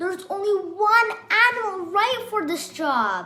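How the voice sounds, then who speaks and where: A woman's put-on character voice, extremely high-pitched, at a moderate pace with faint music in the background. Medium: read story.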